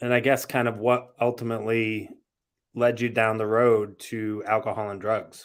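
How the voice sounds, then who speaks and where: A man's medium-pitched voice with a Massachusetts accent, monotone and flat, at a moderate pace on a very clean recording with a silent background. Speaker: podcast host. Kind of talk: interview.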